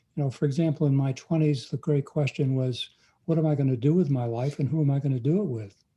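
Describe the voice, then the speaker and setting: A man speaks very fast with a fairly high pitch and a somewhat breathy voice. His tone is dark and mellow, with ordinary pitch variation. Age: 80s+. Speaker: pastor. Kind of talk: interview.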